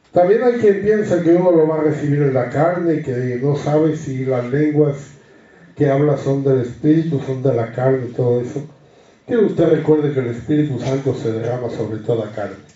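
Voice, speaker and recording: A somewhat breathy man with ordinary pitch variation, plus audible room echo. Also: fairly high pitch for a man, moderate pace. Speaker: Bible study teacher. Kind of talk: Bible study teaching.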